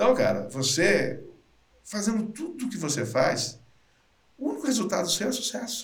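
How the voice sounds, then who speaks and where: At a moderate pace, a man speaks in a high voice with very wide pitch swings and long, frequent pauses. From interior of São Paulo state, Brazil. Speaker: sales trainer and speaker. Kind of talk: casual interview.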